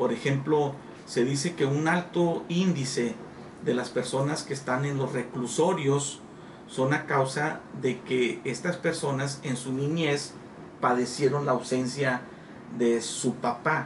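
Speaking at a very slow pace, a man with a fairly high pitch keeps his intonation fairly even, with audible room echo and noticeable background noise. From northern Mexico, Coahuila. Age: 50s. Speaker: pastor. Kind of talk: interview.

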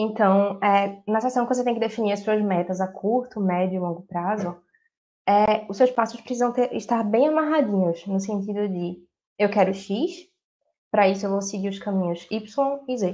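The woman's voice has a dark, mellow tone at medium pitch. She talks at a moderate pace with ordinary pitch variation. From Brazil, Recife, Pernambuco. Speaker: law graduate and master's student. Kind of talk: casual chat.

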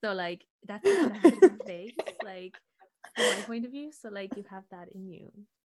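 Fairly slow speech in an Irish accent, with long, frequent pauses and big swings in loudness. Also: woman, medium pitch for a woman, ordinary pitch variation. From Ireland. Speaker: podcast host, astrologer and spiritual coach. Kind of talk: casual interview chat.

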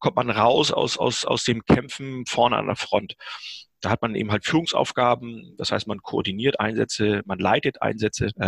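At a fairly slow pace, a man speaks with a medium pitch and ordinary pitch variation, the sound dry and close with no echo. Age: 50s. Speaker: firefighter. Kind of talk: interview. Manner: hesitant, many fillers.

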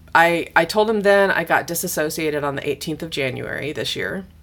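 A woman speaks at a moderate pace in a very deep, low voice, with ordinary pitch variation. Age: 50s. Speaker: former Jehovah's Witness. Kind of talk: interview.

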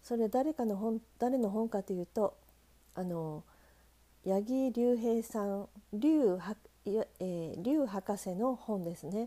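The tone is dark and mellow, and the pace is very slow. Pitch varies in an ordinary way. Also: woman, fairly high pitch for a woman. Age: 50s. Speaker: podcaster. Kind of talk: casual monologue. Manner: halting, many fillers.

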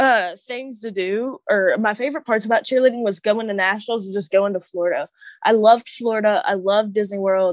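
A woman's fairly high voice with a Kentucky accent, dry and close with no echo. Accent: Kentucky Southern US. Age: young. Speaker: professional wrestler. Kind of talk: casual chat.

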